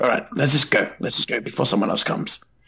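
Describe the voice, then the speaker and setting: Putting on a raspy character voice, a man speaks at a very fast pace with a fairly high pitch. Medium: actual play. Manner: exasperated, quick.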